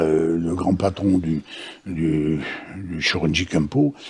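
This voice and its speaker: The pace is very slow as a man talks. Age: 80s+. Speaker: martial arts master. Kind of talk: interview answer. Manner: hesitant, repetitive.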